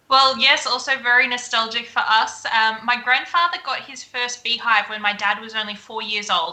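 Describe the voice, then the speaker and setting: With hardly any pauses, a woman speaks in an Australian accent at a high pitch, her loudness swinging widely. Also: ordinary pitch variation, moderate pace. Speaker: beekeeper and honey business owner. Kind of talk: live-streamed interview.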